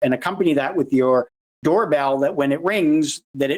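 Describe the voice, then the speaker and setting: His pitch sits fairly high. The speaker is a man. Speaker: security awareness advocate and presenter. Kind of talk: conference presentation. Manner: fast.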